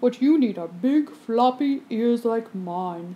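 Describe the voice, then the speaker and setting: At a fairly slow pace, a female-sounding voice speaks in a fairly high, put-on character voice. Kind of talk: bedtime story. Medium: read story.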